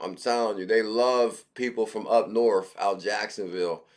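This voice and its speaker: At a fairly slow pace, the speaker talks with a New York accent and fairly even intonation. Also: man. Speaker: crypto livestream host. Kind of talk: casual livestream chat.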